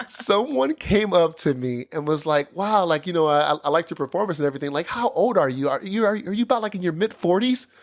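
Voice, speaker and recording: A man talks at a very fast pace with hardly any pauses, his voice high and his intonation lively. Noticeable background noise sits behind him. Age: 30s. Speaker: podcast host. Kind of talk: casual chat.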